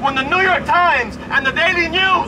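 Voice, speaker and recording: A man speaks in a raised, projected voice at a moderate pace, with ordinary pitch variation. Noticeable background noise runs underneath. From Puerto Rico. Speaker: newspaper ad salesman and union member. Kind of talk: protest rally speech. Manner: halting.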